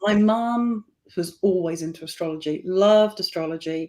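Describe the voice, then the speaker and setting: A woman talks at a moderate pace with fairly even intonation. Her tone is dark and mellow, with a fairly low pitch. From England. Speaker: tarot reader. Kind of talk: casual interview chat. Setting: live online stream.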